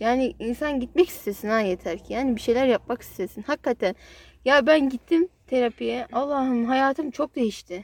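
A woman's high-pitched voice at a moderate pace, ordinary in pitch variation, with a dry, close sound and no echo. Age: 20s. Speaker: podcast co-host sharing her therapy experience. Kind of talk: casual chat.

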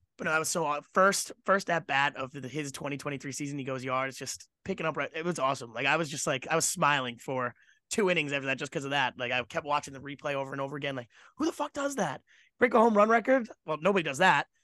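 A man's bright, sharp voice, fairly high with ordinary pitch variation, at a very fast pace, dry and close with no echo, over a quiet background. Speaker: sports podcast co-host. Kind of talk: casual chat.

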